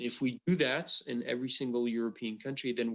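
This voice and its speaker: A man with a French accent speaks at a moderate pace and medium pitch against a quiet background. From France. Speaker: wind industry advocate. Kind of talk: panel discussion. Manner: halting, many fillers.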